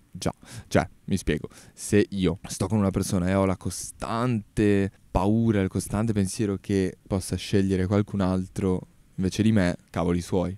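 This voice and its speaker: A man speaks at a fairly slow pace with a fairly low pitch, a dark, mellow tone, monotone, flat intonation and very even loudness, the sound dry with no echo. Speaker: podcaster. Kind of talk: casual monologue podcast. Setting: outdoors in a park. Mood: relaxed, opinionated. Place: garden. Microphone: handheld.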